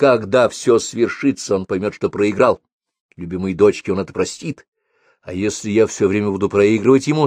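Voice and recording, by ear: Quiet surroundings behind reading aloud in a natural voice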